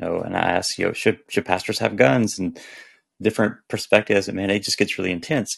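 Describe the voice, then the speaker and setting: Vocal fry runs through a man's very fast speech, delivered with an American accent and ordinary pitch variation. The background is quiet. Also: fairly low pitch for a man. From US South. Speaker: author. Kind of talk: casual chat.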